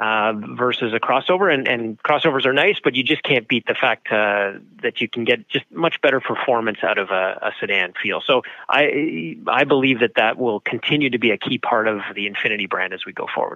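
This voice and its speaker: A man with a Canadian accent talks at a fairly quick pace. His pitch is medium and his intonation is lively. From Ontario, Canada (Thornhill). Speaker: auto company executive. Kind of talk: interview. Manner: halting, many fillers.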